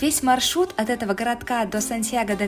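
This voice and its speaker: Music plays in the background. The speaker talks at a moderate pace with ordinary pitch variation. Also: woman. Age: 20s. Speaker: travel vlogger. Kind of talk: documentary narration.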